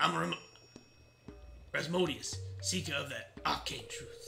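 Putting on a character voice, a man speaks at a moderate pace against clear background noise. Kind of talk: archaic, mystical.

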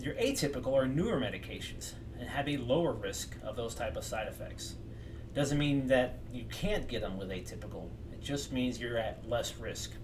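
Noticeable background noise runs under a man speaking at a moderate pace. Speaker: mental health educator. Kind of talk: lecture. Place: home room. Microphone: webcam.

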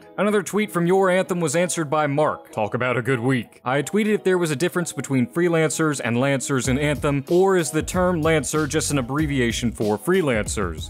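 With music in the background, a man speaks at a fairly quick pace in a fairly high pitch, with an upbeat tone, lively intonation, very even loudness and hardly any pauses. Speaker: gaming news YouTuber. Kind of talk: game news roundup to camera.

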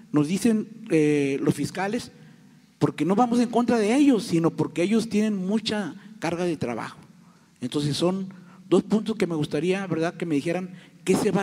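A man's high-pitched voice with a dark, mellow tone, fairly quick pace and ordinary pitch variation, over a quiet background. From Tamaulipas, Mexico. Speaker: journalist; audience member. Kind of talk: press conference question. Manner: impassioned. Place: hall. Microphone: handheld.

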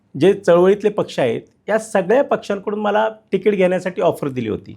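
This is a man talking. His pitch sits high. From Pimpri-Chinchwad, Maharashtra, India. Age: 40s. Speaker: independent election candidate. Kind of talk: interview. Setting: studio.

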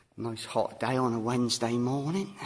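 A man speaks at a moderate pace with a medium pitch, a slightly mellow tone and ordinary pitch variation.

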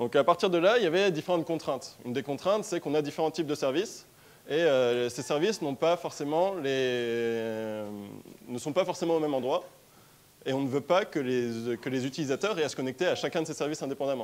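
Here a man talks at a fairly high pitch. His intonation is lively. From France, Strasbourg (Alsace); France. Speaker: tech startup co-founder, conference speaker; conference speaker. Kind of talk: conference talk. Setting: stage with audience. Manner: hesitant, many filler sounds. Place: hall.

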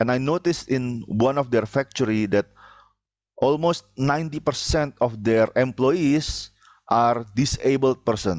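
In an Indonesian accent, a man speaks at a fairly slow pace with long, frequent pauses, ordinary pitch variation and very even loudness, in a dry sound with no echo over a quiet background. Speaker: university lecturer. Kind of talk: lecture. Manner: halting, many filler sounds. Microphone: headset.

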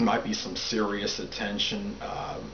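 There is noticeable background noise as a man talks at a fairly slow pace. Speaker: astrology commentator. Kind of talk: monologue explanation. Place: home room. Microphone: camera far.

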